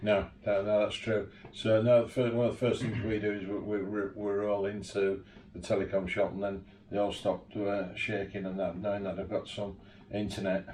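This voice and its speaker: A man speaks in a Yorkshire accent at a moderate pace. His fairly low voice has monotone, flat intonation. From Yorkshire, northern England. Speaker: 4x4 tour operator and interviewer. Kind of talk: casual interview chat. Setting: home garage.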